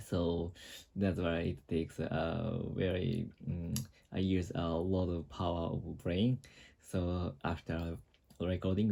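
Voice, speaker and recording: In a Japanese accent, a man speaks at a very slow pace. His very deep, low pitch has a dark, mellow tone. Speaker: vlogger. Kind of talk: casual monologue vlog. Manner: halting, many fillers and restarts.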